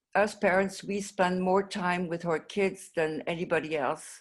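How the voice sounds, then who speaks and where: A woman's fairly low voice in a French accent, at a fairly slow pace. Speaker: mental health advocate, parent of patient. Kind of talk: conference presentation. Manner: halting, many fillers and restarts.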